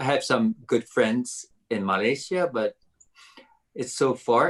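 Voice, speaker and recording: A man speaks with a Japanese accent. His pace is very slow and his intonation lively. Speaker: violinist and violin professor. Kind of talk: interview. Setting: video call. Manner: halting, many fillers.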